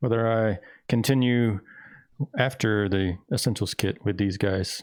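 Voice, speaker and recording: The speaker is mumbling with a Southern US accent. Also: man. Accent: southern drawl. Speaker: game master. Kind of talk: casual chat. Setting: live stream.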